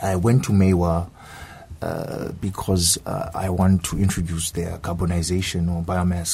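This man's voice sits very deep and low in pitch. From South Africa. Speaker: graduate student. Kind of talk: radio interview. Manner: halting.

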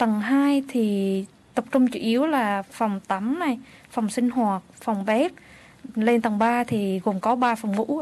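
Pitch varies in an ordinary way as the words come out very slowly. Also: woman, fairly high pitch for a woman. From Vietnam. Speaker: social support worker and interpreter. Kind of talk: radio interview. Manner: halting.

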